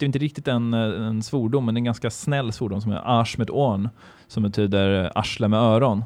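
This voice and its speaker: Medium in pitch, a man talks at a fairly quick pace. His loudness stays very even, and his pitch varies in an ordinary way. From Sweden. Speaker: podcast guest, half-German. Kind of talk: casual chat.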